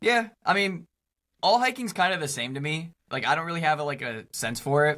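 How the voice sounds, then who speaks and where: In a very clean recording with a silent background, a man talks loudly at a fairly quick pace in a bright, sharp tone. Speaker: YouTuber. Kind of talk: casual interview chat.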